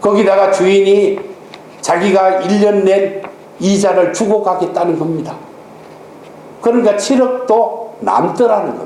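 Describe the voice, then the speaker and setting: A high-pitched man is heard amid noticeable background noise and audible room echo. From Gyeongsang region, South Korea. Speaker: pastor. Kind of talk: sermon.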